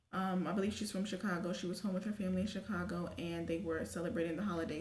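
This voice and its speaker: A woman with an American accent speaks at a very fast pace and medium pitch, her intonation fairly even. Audible room echo and noticeable background noise surround her. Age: 20s. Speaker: YouTube commentary vlogger. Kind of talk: casual commentary.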